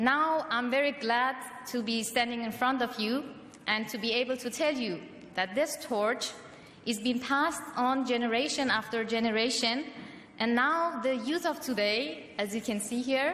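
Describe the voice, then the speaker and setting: A woman with a high pitch talks at a moderate pace, her pitch varying in an ordinary way against noticeable background noise. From Europe, of Iranian family. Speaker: political activist. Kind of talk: rally speech. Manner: halting, many fillers.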